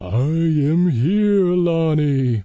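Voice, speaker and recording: This put-on character voice sits at a middle pitch and sounds nasal. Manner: eerie.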